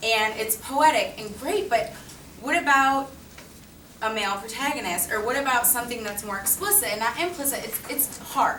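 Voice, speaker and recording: With lively intonation and a high pitch, a woman's voice carries audible room echo over noticeable background noise. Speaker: teacher. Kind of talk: presentation. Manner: fast.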